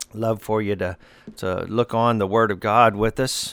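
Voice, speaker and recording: With an Arkansas accent, a man speaks at a fairly slow pace. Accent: Southern US (Arkansas). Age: 60s. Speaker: pastor. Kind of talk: radio sermon. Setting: radio broadcast.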